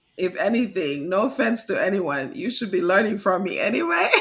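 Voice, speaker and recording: Her pitch swings very widely around a medium level for a woman. She talks at a moderate pace with a Kittitian accent. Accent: Caribbean (St. Kitts). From St. Kitts and St. Thomas, Caribbean. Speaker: English teacher and author. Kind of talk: podcast interview.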